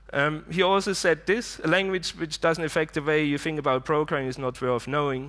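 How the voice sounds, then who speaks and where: The recording is very clean, with a silent background. A man talks with ordinary pitch variation. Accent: German. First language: German. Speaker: conference speaker. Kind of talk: conference talk. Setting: stage with audience.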